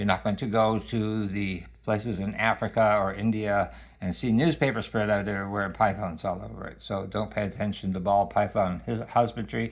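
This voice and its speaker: A man's fairly low voice with ordinary pitch variation. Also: fairly quick pace. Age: 60s. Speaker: snake owner, pet care video maker. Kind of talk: tutorial. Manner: halting, with many fillers.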